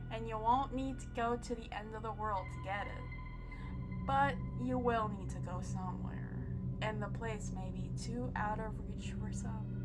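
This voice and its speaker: Over background music, a woman whispers at a fairly slow pace. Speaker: creepypasta narrator. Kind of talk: horror story narration. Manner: whispering, creepy.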